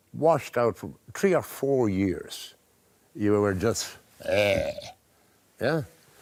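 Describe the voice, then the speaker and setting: A man with an Irish accent talks at a very slow pace. He leaves long, frequent pauses. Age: 70s. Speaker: artist. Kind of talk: casual chat.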